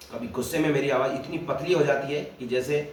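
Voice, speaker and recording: A man with a fairly high pitch and ordinary pitch variation is heard with audible room echo and noticeable background noise. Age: 30s. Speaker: video blogger. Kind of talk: casual monologue.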